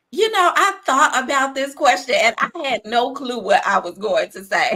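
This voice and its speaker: A woman with a high voice speaks at a moderate pace in a raised, projected voice, with very wide pitch swings and big swings in loudness. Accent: American. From Chicago, south side. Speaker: leadership coach. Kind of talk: interview.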